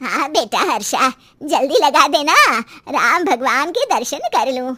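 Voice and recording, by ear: A woman's cartoonish character voice, high-pitched with lively intonation at a moderate pace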